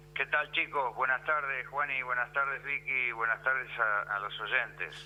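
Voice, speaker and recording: At a moderate pace, a man speaks with a medium pitch and fairly even intonation. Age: 60s. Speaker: history professor. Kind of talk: radio interview. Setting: radio studio interview. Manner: halting, many fillers and repetitions.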